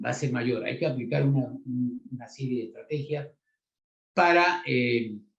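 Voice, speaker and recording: Somewhat breathy, a man's voice comes through at a medium pitch. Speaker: refrigeration engineer and instructor. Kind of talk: technical lecture. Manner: many filler words and hesitations.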